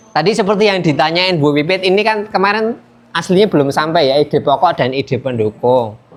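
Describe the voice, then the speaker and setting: In a Javanese accent, a man with a high pitch and lively intonation talks at a fairly quick pace with hardly any pauses and very even loudness. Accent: Javanese-accented Indonesian. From Yogyakarta, Indonesia. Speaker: student teacher. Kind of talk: classroom lesson. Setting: classroom. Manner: casual, conversational.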